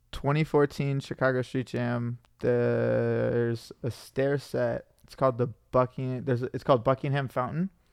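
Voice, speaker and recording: A man speaks at a moderate pace with big swings in loudness. The sound is dry and close, with no echo. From Michigan, US Midwest. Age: 20s. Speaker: pro scooter rider. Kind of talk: casual chat. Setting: studio.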